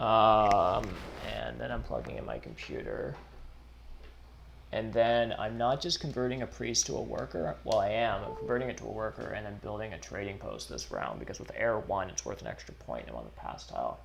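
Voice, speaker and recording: Mumbling at a moderate pace, a man is heard with audible room echo and noticeable background noise. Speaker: board game streamer. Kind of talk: live stream commentary. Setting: live stream. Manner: casual, halting.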